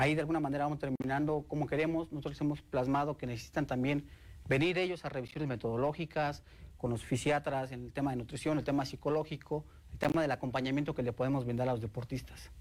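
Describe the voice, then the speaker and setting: Speaking very fast, a man keeps his intonation fairly even. His pitch is fairly high. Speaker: state sports commission director. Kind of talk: interview.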